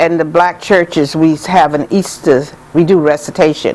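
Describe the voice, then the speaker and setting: Noticeable background noise is present throughout. Over it, a woman speaks at a moderate pace. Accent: American. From US South, Georgetown, South Carolina. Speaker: community elder. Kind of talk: interview storytelling.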